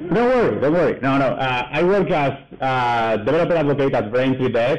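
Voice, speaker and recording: A man speaks with a strong Spanish accent at a medium pitch. His pace is moderate and his pitch variation ordinary. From Spain. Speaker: developer advocate. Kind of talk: conference talk. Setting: stage at a meetup with audience. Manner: halting, many fillers.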